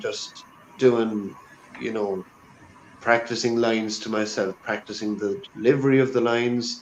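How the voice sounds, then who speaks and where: A man speaks with an Irish accent. Noticeable background noise runs behind him. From Ireland. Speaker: actor. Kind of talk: casual chat.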